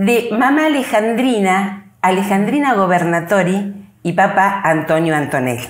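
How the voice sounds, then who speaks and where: This woman talks at a fairly slow pace in a medium pitch with lively intonation, and there is audible room echo. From Argentina, Bahía Blanca area. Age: 70s. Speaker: cultural association president. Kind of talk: radio interview, life story. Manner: animated storytelling.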